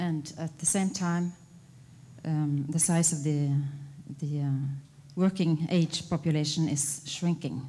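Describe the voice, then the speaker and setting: Somewhat breathy, with a dark, mellow tone and a Norwegian accent, the voice moves at a fairly slow pace with fairly even intonation and long, frequent pauses. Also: woman, very deep, low pitch for a woman. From Norway. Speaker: conference panelist. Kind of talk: reading aloud. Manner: halting.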